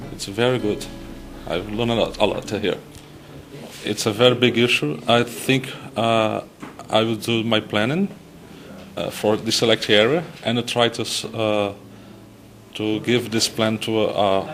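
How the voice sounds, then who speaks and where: Noticeable background noise sits behind a man who talks fairly slowly, leaving long, frequent pauses. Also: medium pitch for a man, ordinary pitch variation. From Brazil. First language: Portuguese. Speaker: telecommunications regulator, trainee. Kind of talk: interview. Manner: halting, with repetitions.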